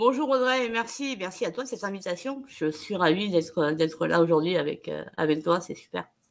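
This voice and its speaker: With lively intonation, a woman speaks at a moderate speed. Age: 30s. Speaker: interview guest, speaker. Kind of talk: online video interview. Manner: halting, frequent repetitions and hesitations. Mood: warm, encouraging. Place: home room.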